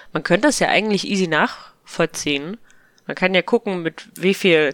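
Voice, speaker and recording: A woman speaks with ordinary pitch variation in a dry, close recording with no echo. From eastern Germany. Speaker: podcast guest. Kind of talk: casual chat.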